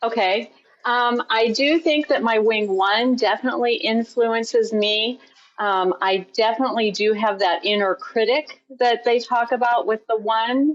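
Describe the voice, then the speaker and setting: A woman's fairly high voice at a fairly slow pace, very even in loudness, with ordinary pitch variation and an ordinary speaking voice. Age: 60s. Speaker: podcast guest. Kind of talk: podcast interview.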